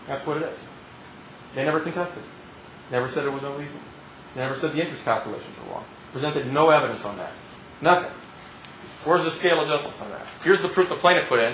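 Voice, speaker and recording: A man speaks at a very fast pace with a fairly high pitch, ordinary pitch variation and long, frequent pauses. Light background noise and audible room echo are present. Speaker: trial attorney. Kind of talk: courtroom closing argument to a jury, rhetorical questions and repetition. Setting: courtroom. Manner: punchy, emphatic, repeating words for effect; indignant, building to a forceful demand. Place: hall. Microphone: camera far.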